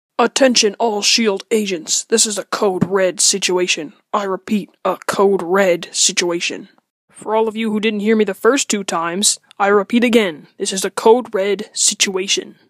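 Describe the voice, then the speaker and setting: A woman's medium-pitched voice at a moderate pace. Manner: monotone, repetitive.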